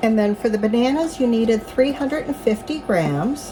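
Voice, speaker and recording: Very wide pitch swings from a woman's fairly high voice over noticeable background noise. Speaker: home baker and farm vlogger. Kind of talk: cooking tutorial. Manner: slow; halting.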